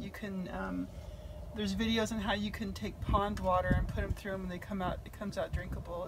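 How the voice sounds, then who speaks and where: Noticeable background noise runs under a woman's voice. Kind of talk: casual tour chat. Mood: warm, pleased. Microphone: camera far.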